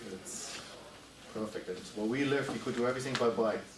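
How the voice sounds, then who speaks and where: A man talks at a moderate pace and medium pitch. The recording has noticeable background noise and audible room echo. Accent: German. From Germany. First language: German. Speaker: club member telling life story. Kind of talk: casual Q&A talk. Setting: talk with live audience.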